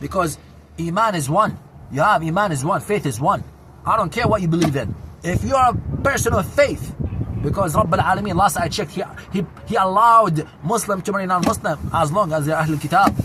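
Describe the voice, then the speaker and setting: Through noticeable background noise, a man talks at a fairly quick pace in a high voice with lively intonation. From Syria, Damascus. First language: Arabic. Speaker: vlogger. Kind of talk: casual monologue. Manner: loud; animated.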